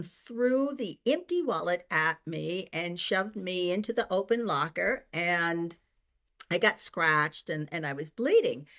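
A normal speaking voice from a woman, medium in pitch, with an American accent, fairly slow pace and lively intonation, on a very clean recording with a silent background. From Boston. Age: 60s. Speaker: retired teacher and senior track athlete. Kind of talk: interview.

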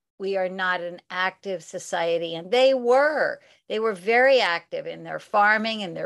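A woman's unremarkable speaking voice with an American accent, medium pitch and ordinary pitch variation, fairly slow yet with hardly any pauses, big swings in loudness, and a quiet background. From US Pacific Northwest. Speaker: author. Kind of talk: interview.

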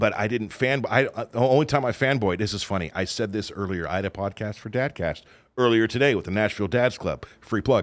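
A man with a Californian accent talks at a medium pitch and a fairly quick pace, with ordinary pitch variation. The recording is very clean, with a silent background. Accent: General American (Californian). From Southern California. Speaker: radio DJ and podcaster. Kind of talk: casual chat. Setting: studio.

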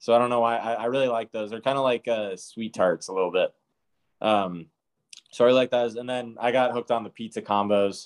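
Talking at a fairly quick pace, a man with an American accent has a medium pitch, fairly even intonation and an unremarkable speaking voice. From US West Coast, San Francisco. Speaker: professional baseball pitcher. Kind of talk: casual interview.

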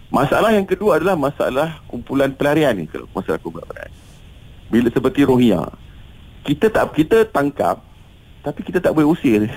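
A fairly high-pitched male voice with very wide pitch swings. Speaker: humanitarian organisation official. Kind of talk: radio interview.

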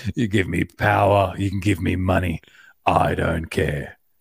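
A man's raspy put-on character voice, very deep and low in pitch, with fairly even intonation at a moderate pace. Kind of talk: hammy, exaggerated amateur-theatre. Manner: theatrical, overacting.

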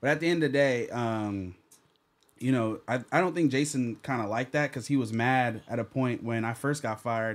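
With an ordinary speaking voice, a man of medium pitch speaks in an American accent at a fairly quick pace with ordinary pitch variation, in a very clean recording with a silent background. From New Jersey, Jamaican roots. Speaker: podcaster and former interviewer. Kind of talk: casual chat.

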